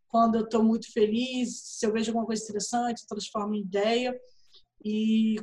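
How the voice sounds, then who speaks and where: A woman with a fairly high pitch sounds somewhat breathy and keeps a fairly even intonation. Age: 30s. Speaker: writer and literary event organizer. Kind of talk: casual chat.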